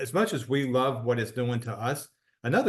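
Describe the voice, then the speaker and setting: Against a quiet background, a man with an unremarkable speaking voice talks at a medium pitch and moderate pace. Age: 60s. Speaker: wellness product promoter. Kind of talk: interview testimony.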